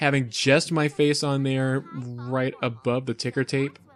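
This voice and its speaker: Over noticeable background noise, a man with a medium pitch speaks at a fairly slow pace with monotone, flat intonation. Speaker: YouTube reviewer. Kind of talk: video commentary. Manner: hesitant, many fillers.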